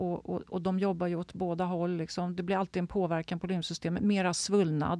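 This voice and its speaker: A woman talks at a fairly quick pace with hardly any pauses. Her dark, mellow tone sits at a fairly low pitch with monotone, flat intonation. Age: 60s. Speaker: health and wellness adviser. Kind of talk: interview conversation.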